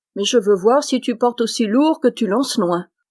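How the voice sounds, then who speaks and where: A put-on character voice from a woman, fairly high in pitch, at a moderate pace. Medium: read story. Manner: gruff, scornful.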